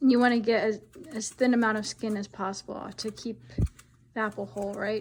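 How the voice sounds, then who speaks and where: Her pitch fairly high and her voice somewhat breathy, a woman talks at a fairly quick pace with fairly even intonation and long, frequent pauses. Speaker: cooking video host. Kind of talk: casual cooking demonstration.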